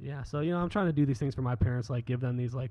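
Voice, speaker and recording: A somewhat breathy man with an American accent. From US Midwest, Cleveland Ohio area. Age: 30s. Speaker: photographer. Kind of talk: casual chat.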